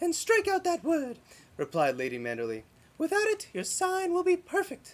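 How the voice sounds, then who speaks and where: Putting on a character voice, a squeaky man talks at a moderate pace with an extremely high pitch. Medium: read story. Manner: haughty.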